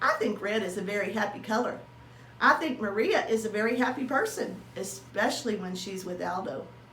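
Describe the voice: The fairly bright voice moves at a moderate pace with ordinary pitch variation, and room echo is audible. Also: woman.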